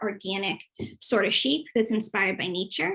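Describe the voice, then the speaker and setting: Here a woman speaks with a Boston accent. Her pace is moderate and her pitch varies in an ordinary way. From Boston, US. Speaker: youth program specialist, former English teacher. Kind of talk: online presentation / webinar.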